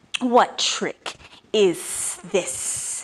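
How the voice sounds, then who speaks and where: A woman hisses in a put-on character voice. Her tone is angry. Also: fairly high pitch for a woman. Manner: angry, hissing.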